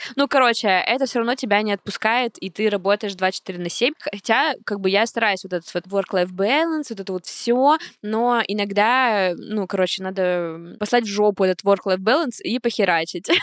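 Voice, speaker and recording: A woman speaks at a moderate pace in an ordinary speaking voice, with medium pitch and ordinary pitch variation. The recording is very clean with a silent background, and the sound is dry and close with no echo. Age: 20s. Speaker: podcast co-host, podcast studio founder. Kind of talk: casual chat. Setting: studio.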